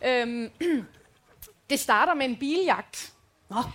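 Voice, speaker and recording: A woman talks with lively intonation in a bright, sharp tone. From Denmark, Rigskov. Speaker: podcast co-host. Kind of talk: live show banter. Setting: stage with audience.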